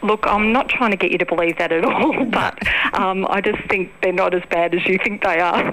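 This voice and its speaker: A woman at medium pitch and moderate pace, with ordinary pitch variation, very even loudness and noticeable background noise. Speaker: radio caller. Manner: confident, chatty, playfully argumentative.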